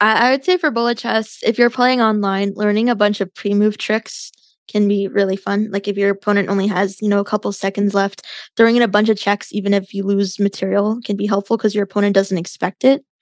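The sound is dry and close with no echo, the delivery monotone and flat at a fairly quick pace against a quiet background. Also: woman, medium pitch for a woman. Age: 20s. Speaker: chess streamer and podcaster. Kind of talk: casual interview chat.

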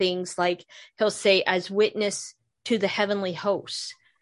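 In a quiet background, a woman speaks at a moderate pace with a Midwestern American accent. Her medium-pitched voice stays monotone and flat. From northern Ohio, near Cleveland. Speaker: podcast host, author and Bible teacher. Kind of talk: casual interview chat.

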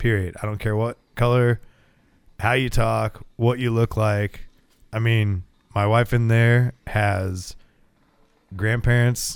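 A man with an American accent talks at a very slow pace, leaving long, frequent pauses. His medium-pitched voice stays monotone and flat. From US, small town. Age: 30s. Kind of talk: casual chat. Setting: home garage.

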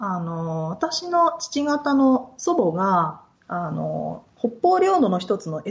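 Barely pausing, a woman talks with very wide pitch swings and big swings in loudness. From Japan, Yokohama; moved often, high school in Osaka. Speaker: podcast guest, researcher/interviewer. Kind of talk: casual interview chat.

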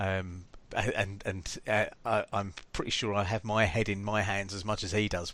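In an English accent, a man with a fairly low pitch speaks in a bright, sharp tone and monotone, flat intonation. The recording is very clean, with a silent background. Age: 50s. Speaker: podcast host. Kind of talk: casual chat.

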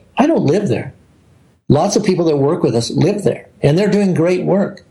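With an American accent, a man speaks at a high pitch with lively intonation. His tone is dark and mellow, and there is audible room echo. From US South. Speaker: missionary leader. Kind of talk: interview.

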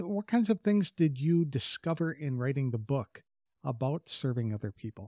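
With an American accent, the speaker talks at a moderate pace in a somewhat breathy, dark, mellow tone, the pitch swinging very widely. The sound is dry and close, with no echo. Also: man. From Wisconsin. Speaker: podcast host. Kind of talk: interview, scripted intro.

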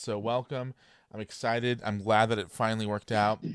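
A man is speaking. The background is quiet. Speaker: podcast host. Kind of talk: casual interview.

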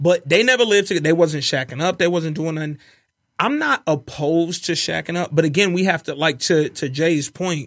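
In a very clean recording with a silent background, a man speaks at a fairly quick pace. His pitch is high, with ordinary variation. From US South, Birmingham, Alabama. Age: 30s. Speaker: podcast guest. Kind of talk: casual chat.

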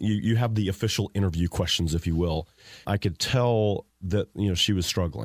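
A man's plain, everyday voice, fairly low in pitch, at a moderate pace with ordinary pitch variation and very even loudness, on a very clean recording with a silent background and a dry, close sound with no echo. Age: 40s. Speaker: business owner. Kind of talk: interview. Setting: studio.

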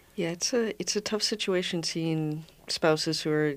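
Speaking at a moderate pace with ordinary pitch variation, a woman with an Upper Midwest accent is heard on a very clean recording with a silent background. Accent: Upper Midwest American. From Minnesota, Minnetonka. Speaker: founder of a memory care community. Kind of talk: radio interview. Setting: radio studio.

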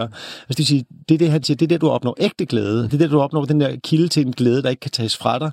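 A man speaks at medium pitch with ordinary pitch variation, and the sound is dry and close with no echo. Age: 30s. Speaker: author and journalist. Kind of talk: interview. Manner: halting.

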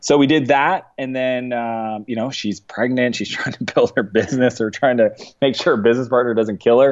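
A man talks fairly quickly at a medium pitch, with hardly any pauses. He speaks with a Canadian accent. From Canada, East Coast. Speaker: entrepreneur and business coach. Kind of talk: casual interview. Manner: animated.

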